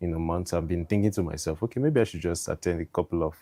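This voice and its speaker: Speaking very fast with a Nigerian accent, a man has a very deep, low pitch, ordinary pitch variation and a dark, mellow tone. The recording is very clean, with a silent background and a dry, close sound with no echo. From southern Nigeria, Delta State (Urhobo). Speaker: guest sharing faith journey. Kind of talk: interview testimony.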